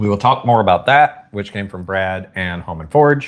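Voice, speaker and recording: Talking at a moderate pace, a man with a Southern US accent uses lively intonation. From US South. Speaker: YouTuber. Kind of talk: live stream chat. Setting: live stream. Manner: casual.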